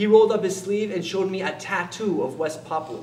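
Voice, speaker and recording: Amid noticeable background noise and audible room echo, a man with a high pitch speaks at a moderate pace with ordinary pitch variation. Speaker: theatre performer. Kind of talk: stage monologue. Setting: stage with audience.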